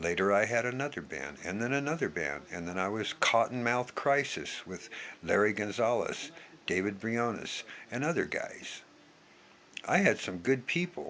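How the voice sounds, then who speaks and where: This man has an American accent and a medium pitch. His voice swings very widely in pitch. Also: moderate pace. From US Pacific Northwest, Yakima, Washington. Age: 60s. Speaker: vlogger. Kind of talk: impassioned monologue. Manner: emphatic.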